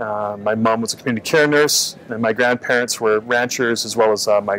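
Faint background noise sits behind a man with a fairly low pitch and a fairly bright tone.

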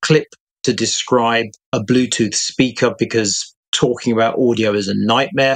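With a British accent, a man speaks in fairly even intonation over a quiet background. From UK. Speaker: freelance tech journalist. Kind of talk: casual chat. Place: home room.

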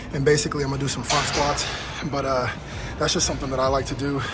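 Music plays clearly behind a man as he talks. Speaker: fitness vlogger. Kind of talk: casual vlog chat. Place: gym. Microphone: phone near.

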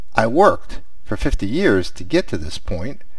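Over a quiet background, a man with a fairly high pitch swings very widely up and down, the sound dry with no echo. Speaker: retiree, cruise reviewer. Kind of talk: casual talk to camera. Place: home room. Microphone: headset.

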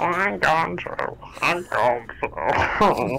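Clear background noise behind a put-on character voice. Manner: goofy, playful.

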